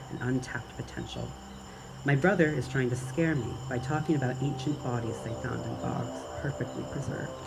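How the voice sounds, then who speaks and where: A fairly quick pace with music in the background. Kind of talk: first-person narration of a spooky short story. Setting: outdoors.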